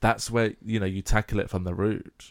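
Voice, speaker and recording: The speaker is a man with an English accent. His intonation is fairly even. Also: very clean recording, silent background. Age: 20s. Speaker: podcast co-host. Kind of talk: casual chat.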